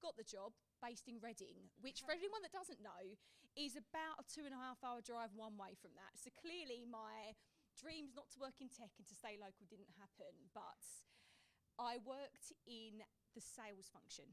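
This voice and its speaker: A woman with a strong Essex accent speaks high-pitched at a moderate pace, with big swings in loudness. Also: lively intonation. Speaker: tech sales professional. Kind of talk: panel discussion. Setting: live event with audience.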